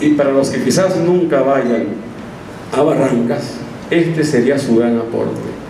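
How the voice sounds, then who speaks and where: Moderate pacing from a male speaker, with audible room echo and noticeable background noise. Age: 50s. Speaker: missionary. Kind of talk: sermon.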